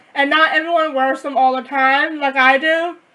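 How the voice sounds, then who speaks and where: A woman speaks loudly. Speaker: deaf vlogger. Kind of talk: casual vlog.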